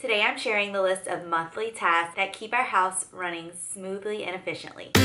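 Music plays in the background as a woman of medium pitch speaks at a moderate pace with fairly even intonation. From South Louisiana. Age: 30s. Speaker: lifestyle vlogger. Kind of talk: casual talk to camera. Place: home room.

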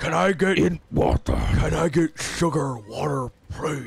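A man puts on a character voice, raspy and medium-pitched, with very wide pitch swings at a moderate pace. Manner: slurred.

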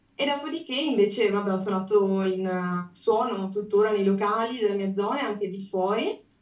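A woman's voice at a moderate pace with hardly any pauses, ordinary pitch variation and audible room echo. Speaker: aspiring singer; guest. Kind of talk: interview answer. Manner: formal. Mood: glad, a bit shy. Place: home room. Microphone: video call.

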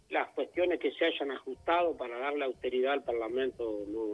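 A normal speaking voice from a man, medium in pitch, at a moderate pace with lively intonation. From Uruguay, Cerro Largo (interior). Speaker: politician, legislator. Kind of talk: radio interview.

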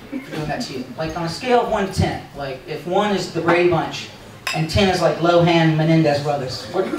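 A man at a fairly quick pace amid noticeable background noise and audible room echo. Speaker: stand-up comedian. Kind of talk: stand-up comedy routine. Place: cafe.

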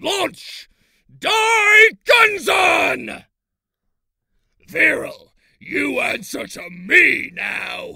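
A shouted, raspy put-on character voice at an extremely high pitch, very slow, with long, frequent pauses. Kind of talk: character audition reel. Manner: shouting.

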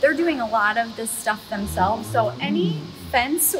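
A woman speaks at a moderate tempo while music sounds behind her. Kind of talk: casual guided tour explanation. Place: farm machine. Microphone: camera far.

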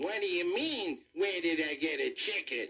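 A man puts on a character voice, drawling at a fairly slow pace with lively intonation, a bright, sharp tone and fairly high pitch, while audible room echo surrounds him.

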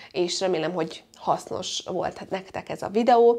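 With a dark, mellow tone, this woman's voice shows ordinary pitch variation. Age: 20s. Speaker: beauty and lifestyle vlogger; lifestyle vlogger. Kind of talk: casual vlog monologue. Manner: chatty, jumping between topics. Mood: cheerful, expressive. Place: home room. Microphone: lapel.

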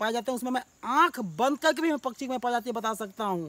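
In a dry, close sound with no echo and a very clean recording with a silent background, a man talks at an extremely high pitch. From Jharkhand, India. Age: 30s. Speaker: bird sound imitator. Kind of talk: interview testimony.

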